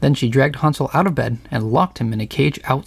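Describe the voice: The plain reading aloud carries ordinary pitch variation.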